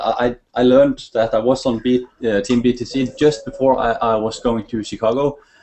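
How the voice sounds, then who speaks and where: Speaking at a moderate pace with ordinary pitch variation, a man talks in a Norwegian accent. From Norway. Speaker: network marketer. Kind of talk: testimony. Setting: video call. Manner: halting.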